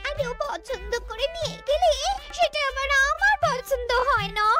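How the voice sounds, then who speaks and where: A woman's cartoonish character voice at an extremely high pitch, with lively intonation and clear music in the background. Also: moderate pace. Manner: demanding, covetous.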